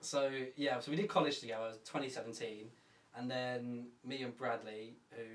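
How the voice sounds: A man speaks at a medium pitch and moderate pace with fairly even intonation, and room echo is audible.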